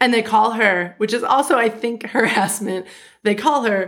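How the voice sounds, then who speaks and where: At a moderate pace, a woman speaks. Her pitch varies in an ordinary way. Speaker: podcast co-host. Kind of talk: casual chat, recap podcast. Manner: interrupts often.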